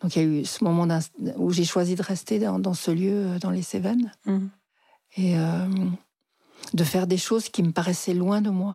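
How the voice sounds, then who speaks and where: A woman with a dark, mellow tone and fairly low pitch speaks at a moderate pace with fairly even intonation, very even loudness, and long, frequent pauses. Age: 60s. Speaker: psychotherapist. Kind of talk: personal storytelling interview.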